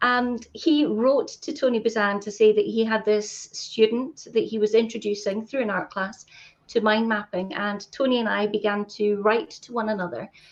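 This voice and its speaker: A woman talks with a Scottish accent at a moderate pace. Her pitch is fairly high and her intonation fairly even. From Scotland, Fife. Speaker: mind mapping trainer. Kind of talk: interview.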